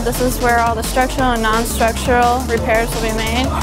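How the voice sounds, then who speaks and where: A woman with an American accent, with clear music in the background. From northern New York. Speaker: collision repair student. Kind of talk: guided tour to camera. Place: workshop.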